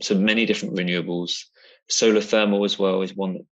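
A man with a British accent at a fairly quick pace, over a quiet background. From UK. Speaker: UN climate and energy advisor. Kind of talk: interview.

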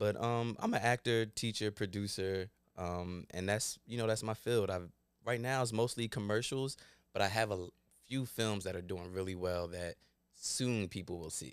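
Speaking at a moderate pace in an ordinary speaking voice, a man has a fairly low pitch and ordinary pitch variation, with a dry sound with no echo and a quiet background. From Glassboro, New Jersey, US; New Jersey. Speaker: actor. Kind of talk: casual chat. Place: studio. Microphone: studio mic.

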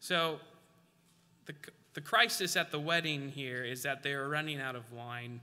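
A man with a bright, sharp tone and fairly high pitch speaks at a moderate pace, using ordinary pitch variation and long, frequent pauses. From Alaska. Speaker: preacher. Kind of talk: sermon. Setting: church. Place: church.

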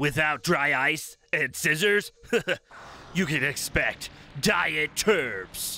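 Lively intonation at a fairly slow pace. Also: man. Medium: comedy sketch. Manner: lecturing, exasperated.

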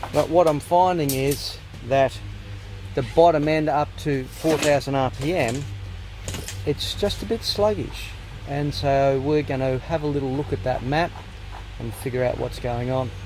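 A man speaks at a fairly slow pace with long, frequent pauses, in a dry sound with no echo and light background noise. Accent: Australian. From Australia. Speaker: motorcycle vlogger. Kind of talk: casual vlog. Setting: workshop. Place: workshop. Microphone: phone near.

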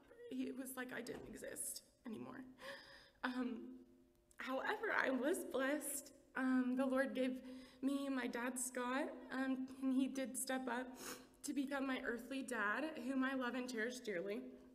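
A woman's high-pitched voice with fairly even intonation and long, frequent pauses. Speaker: church member giving testimony. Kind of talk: testimony. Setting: church with audience. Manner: fast talker when nervous. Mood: emotional, tearful at times. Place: church. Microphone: podium.

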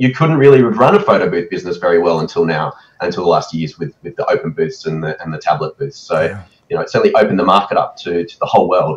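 Speaking at a very fast pace, this man has an Australian accent. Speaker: photo booth expo organizer; guest. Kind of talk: casual interview. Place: home room.

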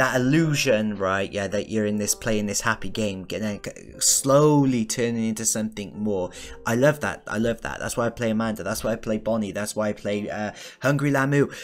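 A man with a fairly low pitch talks at a fairly quick pace, using ordinary pitch variation. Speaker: gaming video creator. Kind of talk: game review commentary. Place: home room. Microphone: studio mic.

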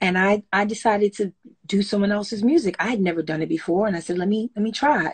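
Somewhat breathy and with an American accent, a woman speaks with ordinary pitch variation over a quiet background. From Brooklyn, New York and Trinidad; Brooklyn. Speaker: songwriter and singer; interviewee. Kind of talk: casual interview. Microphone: phone near.

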